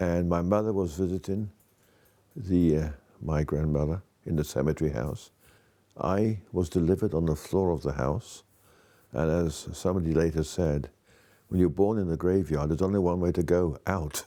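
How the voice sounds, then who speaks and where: A man with a British accent speaks at a moderate pace in a very deep, low, dark, mellow voice with ordinary pitch variation and long, frequent pauses, in a very clean recording with a silent background. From Wales and abroad, British schooling. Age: 70s. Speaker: author. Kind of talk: interview testimony.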